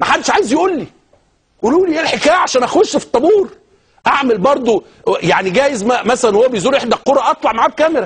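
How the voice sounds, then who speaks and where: A man with a Cairo accent talks at a very fast clip in an animated tone, his extremely high voice rising and falling with lively intonation. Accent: Egyptian Arabic (Cairene). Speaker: TV talk show host. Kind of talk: TV talk show monologue.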